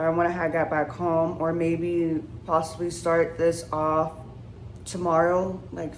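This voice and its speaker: A woman's fairly low voice at a very slow pace, with audible room echo. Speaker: vlogger. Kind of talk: casual vlog to camera. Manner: unscripted, halting with fillers.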